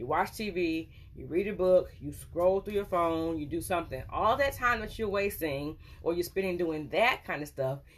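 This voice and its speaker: Her pitch is fairly low and her intonation lively. The woman speaks at a moderate pace. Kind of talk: casual vlog advice. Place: office. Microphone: phone near.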